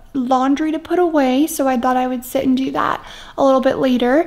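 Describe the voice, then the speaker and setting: This is a woman speaking. Her voice is high-pitched. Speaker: new mother vlogger. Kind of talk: casual vlog chat. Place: home room. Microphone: phone near.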